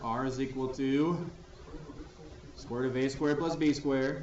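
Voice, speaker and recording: Amid noticeable background noise and audible room echo, a man talks with fairly even intonation and long, frequent pauses. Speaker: math teacher. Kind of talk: classroom lecture.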